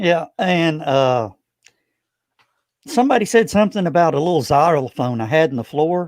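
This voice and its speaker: A man with a slight Southern US accent talks at a moderate pace in a fairly high pitch, swinging very widely in pitch and taking long, frequent pauses, on a very clean recording with a silent background. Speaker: broadcaster and convention organizer. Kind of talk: casual interview chat.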